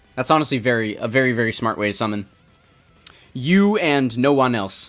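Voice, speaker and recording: A man speaks at a moderate pace and medium pitch. Music plays in the background. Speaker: gaming streamer. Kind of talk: casual gameplay stream chat. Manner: casual, halting with repetitions.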